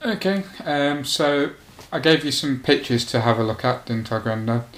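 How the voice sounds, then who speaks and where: A man speaks at a moderate pace and medium pitch with ordinary pitch variation, noticeable background noise behind him. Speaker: oral history interviewer.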